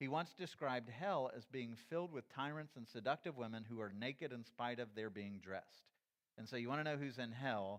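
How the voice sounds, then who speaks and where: A man's normal speaking voice at a medium pitch and fairly quick pace, with ordinary pitch variation. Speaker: church teacher. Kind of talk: lecture.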